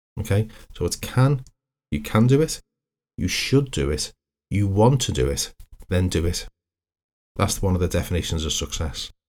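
The voice is somewhat breathy, with very wide pitch swings and long, frequent pauses. The recording is very clean with a silent background. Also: man, fairly low pitch for a man, moderate pace. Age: 50s. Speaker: hypnotherapist and counsellor. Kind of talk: solo podcast monologue.

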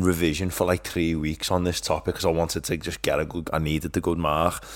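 Delivery comes at a fairly quick pace in monotone, flat intonation. The recording is very clean, with a silent background. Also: man. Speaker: podcast co-host. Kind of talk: casual chat.

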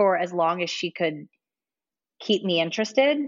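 In an American accent, a woman talks at a moderate pace with lively intonation. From Ohio, US Midwest. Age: 30s. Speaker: podcast guest. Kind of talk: casual interview, personal story.

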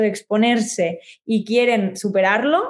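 An ordinary speaking voice from a woman, fairly high in pitch with fairly even intonation, in a very clean recording with a silent background. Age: 20s. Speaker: communication coach and singer-songwriter. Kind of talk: interview.

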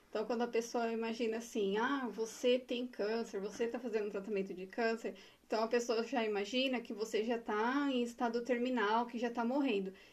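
Fairly quick delivery in a monotone, flat intonation, with hardly any pauses. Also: woman, fairly high pitch for a woman. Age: 40s. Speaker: breast cancer survivor, HR professional. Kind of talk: personal testimony in casual interview.

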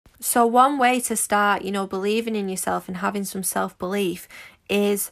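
In a very clean recording with a silent background, a woman with a Manchester accent talks at a fairly quick pace. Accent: Manchester English, fairly noticeable. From Manchester, England. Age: 20s. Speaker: podcast host, social media entrepreneur and mentor. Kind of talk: motivational solo podcast monologue. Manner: upbeat, enthusiastic, positive.

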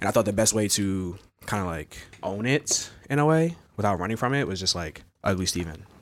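A man talks in a normal speaking voice at a fairly quick pace, with a fairly low pitch and lively intonation, on a very clean recording with a silent background. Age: 20s. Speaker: poet and teacher. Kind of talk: casual chat.

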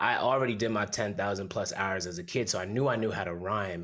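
An ordinary speaking voice comes from a man with an American accent, pitched fairly low with ordinary variation. The recording is very clean, with a silent background. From Bridgeport, Connecticut, Jamaican family. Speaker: hip hop artist and corporate worker. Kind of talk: casual interview.

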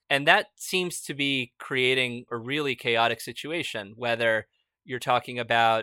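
A man talks at a moderate pace and medium pitch in a bright, sharp tone. The sound is dry and close with no echo, in a very clean recording with a silent background. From United States, Argentine immigrant parents. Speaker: startup founder and CEO, podcast host. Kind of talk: interview answers, casual conversation.

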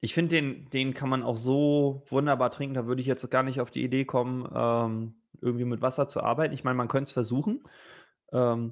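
A man with an ordinary speaking voice talks at medium pitch and a moderate pace with fairly even intonation. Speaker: whisky podcast co-host. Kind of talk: casual whisky tasting chat.

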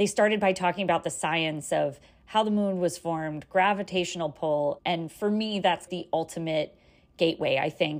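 Here is a woman with an ordinary speaking voice and an American accent. Her pitch is medium with ordinary variation, and her pace is moderate. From New York City. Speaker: podcast listener caller. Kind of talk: recorded voice message.

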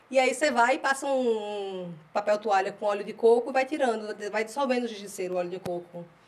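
A woman's voice comes through. Background noise is also clearly audible. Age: 30s. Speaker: podcast co-host, mother. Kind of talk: casual chat.

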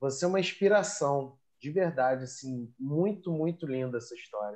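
With lively intonation and an enthusiastic tone, a man speaks at a moderate pace. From Rio de Janeiro, Brazil. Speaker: academic writing coach, podcast host. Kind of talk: interview.

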